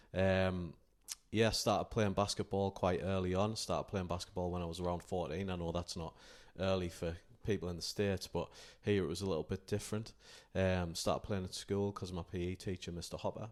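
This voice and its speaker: A northeast England accent delivered in a flat monotone at a fairly quick pace. The recording is very clean, with a silent background. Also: man, very deep, low pitch for a man. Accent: northeast England (Durham). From northern England, County Durham. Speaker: basketball coach and college sport manager. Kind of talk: podcast interview. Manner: hesitant, many fillers.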